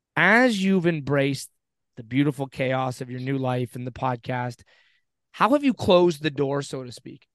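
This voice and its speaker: With a normal speaking voice, a man talks at a moderate pace in a fairly high pitch with ordinary variation, the sound dry and close with no echo against a quiet background. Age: 40s. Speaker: podcast co-host. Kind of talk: interview. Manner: casual.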